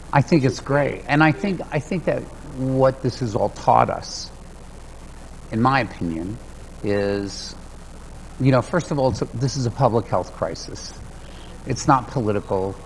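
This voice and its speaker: Lively intonation from a man at a medium pitch, moderate pace with long, frequent pauses, and noticeable background noise. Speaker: ballroom dance event emcee. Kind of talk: podcast interview answer.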